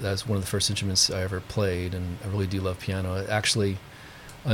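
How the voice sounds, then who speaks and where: A man speaks in a very deep, low pitch with monotone, flat intonation over noticeable background noise. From Pennsylvania. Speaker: guitar teacher. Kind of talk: casual chat.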